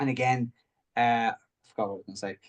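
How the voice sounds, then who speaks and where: A man speaks with an Irish accent and ordinary pitch variation. The sound is dry and close, with no echo. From Ireland. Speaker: mindset coach. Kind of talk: coaching talk in group video session. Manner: halting, many repetitions and false starts.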